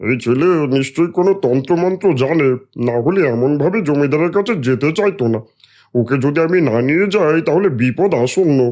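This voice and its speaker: A cartoonish character voice moves at a moderate pace with lively intonation. The recording is very clean, with a silent background. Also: man, fairly high pitch for a man. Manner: loud, brusque.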